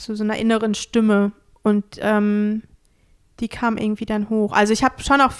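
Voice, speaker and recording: A woman speaks at a moderate pace with fairly high pitch and monotone, flat intonation. The recording is very clean and dry, close with no echo, over a silent background. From Hesse, Germany (Bad Homburg). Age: 30s. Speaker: self-employed trainer. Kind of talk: interview.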